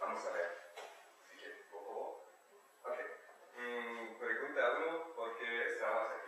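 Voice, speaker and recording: With noticeable background noise and audible room echo, a man talks at a very slow pace. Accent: German. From eastern Germany. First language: German (speaking Spanish). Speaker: exchange student presenter. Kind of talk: talk to an audience. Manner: halting, hesitant.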